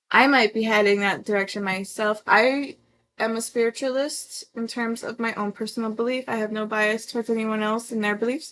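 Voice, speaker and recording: Against a quiet background, a woman speaks at a moderate pace. Her pitch is fairly high and her intonation fairly even. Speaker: tarot reader streamer. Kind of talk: live-stream tarot reading. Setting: live stream. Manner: halting; casual.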